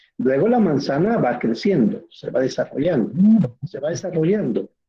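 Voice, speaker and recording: Speaking fairly slowly, a man with a high pitch makes very wide pitch swings. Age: 60s. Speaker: teacher. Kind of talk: lecture.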